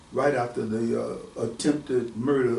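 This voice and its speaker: Noticeable background noise sits behind a man speaking at a moderate pace in a monotone, flat intonation. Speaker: author. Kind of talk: casual conversation.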